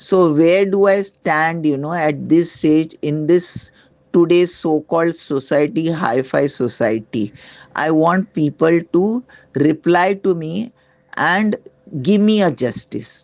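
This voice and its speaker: This woman has a very deep, low voice with lively intonation. She talks at a fairly slow pace. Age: 70s. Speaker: retired resident with a grievance. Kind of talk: complaint testimony. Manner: halting.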